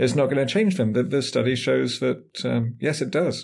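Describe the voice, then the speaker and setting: A man speaks at a medium pitch with an English accent. The recording is very clean, with a silent background. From England. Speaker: urban planning professor. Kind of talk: interview.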